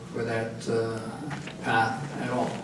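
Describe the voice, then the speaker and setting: With audible room echo and noticeable background noise, a man speaks very slowly in a Quebec accent. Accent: Québécois French accent in English. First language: French. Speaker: anti-war activist speaker. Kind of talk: prepared talk at a public meeting. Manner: halting, many filler sounds.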